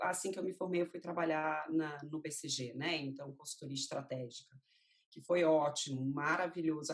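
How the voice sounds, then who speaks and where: Fairly even intonation from a woman with a fairly low pitch, at a moderate pace. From Rio de Janeiro, Brazil. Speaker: marketing executive. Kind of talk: interview. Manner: casual, many fillers.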